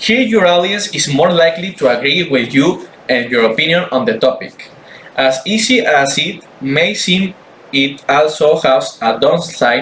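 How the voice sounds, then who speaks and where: A man with a non-native accent and a high pitch, fairly slow pace, lively intonation and very even loudness, over noticeable background noise. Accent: non-native English, weak pronunciation. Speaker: student. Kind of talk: class presentation. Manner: halting, repeats words.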